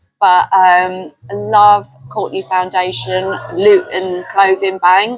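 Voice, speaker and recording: Music plays in the background as a woman with a London accent speaks at a medium pitch. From North London. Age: 60s. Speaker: community worker. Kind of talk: casual chat.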